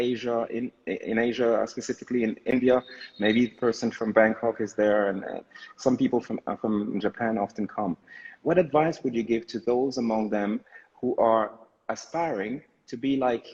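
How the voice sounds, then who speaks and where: With a plain, everyday voice, a man speaks at a moderate pace in fairly even intonation. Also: medium pitch for a man. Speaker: live show host. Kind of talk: casual live-stream hosting.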